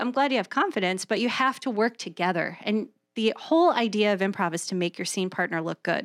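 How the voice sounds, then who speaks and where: With a normal speaking voice, a woman talks at a fairly quick pace with lively intonation, in a dry, close sound with no echo on a very clean recording with a silent background. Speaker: improv performer and teacher, radio producer. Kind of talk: casual chat. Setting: studio. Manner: joking, quick banter.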